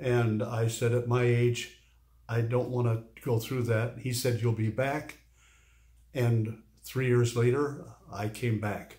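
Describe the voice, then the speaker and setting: Against a quiet background, the voice is somewhat breathy and dark, mellow in tone, moving at a very slow pace with monotone, flat intonation. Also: man, medium pitch for a man. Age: 80s+. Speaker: urology patient. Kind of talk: interview answer. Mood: pleased, earnest. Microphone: phone near.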